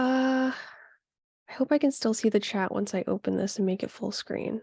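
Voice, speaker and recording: A woman's somewhat breathy voice, fairly high in pitch, with a dark, mellow tone. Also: ordinary pitch variation, moderate pace. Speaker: pet nutrition educator. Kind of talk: livestream presentation. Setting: livestream with chat. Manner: halting, many fillers.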